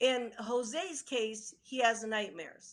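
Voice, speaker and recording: The voice belongs to a woman with a high pitch. Her tone is bright and sharp. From Italy. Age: 70s. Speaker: UFO researcher and author. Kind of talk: interview. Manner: halting.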